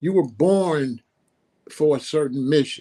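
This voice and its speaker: A man's fairly high voice with an American accent and a dark, mellow tone. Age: 60s. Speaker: author and musician. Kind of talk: interview.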